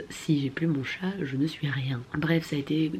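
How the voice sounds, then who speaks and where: This woman's pitch is very deep and low. Her intonation is fairly even. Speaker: vlogger. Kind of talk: casual vlog talk.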